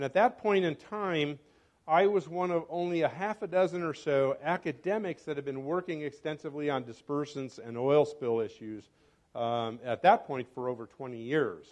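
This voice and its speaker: Set against a quiet background, an unremarkable speaking voice moves at a moderate pace with lively intonation. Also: man, fairly high pitch for a man. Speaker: professor and environmental toxicologist. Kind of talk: club talk. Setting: club meeting with microphone.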